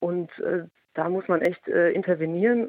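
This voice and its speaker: A woman is talking. The rise and fall of her pitch is ordinary. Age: 30s. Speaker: intensive care nurse and social media influencer. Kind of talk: interview.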